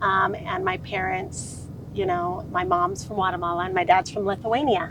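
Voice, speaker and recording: A woman with an American accent at a moderate pace, amid noticeable background noise and audible room echo. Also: medium pitch for a woman, fairly even intonation. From Southern California (Orange County). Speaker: sales consultant. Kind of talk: podcast interview. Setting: outdoors by a lake.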